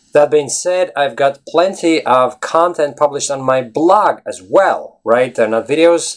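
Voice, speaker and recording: The speaker is a man with a Latvian accent. He talks at a fairly high pitch. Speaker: English teacher. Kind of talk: casual video blog. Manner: animated.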